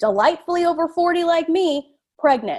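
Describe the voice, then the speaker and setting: At a fairly slow pace, a woman talks in an animated tone with lively intonation. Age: 40s. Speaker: fertility coach. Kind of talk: online workshop talk. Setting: live call.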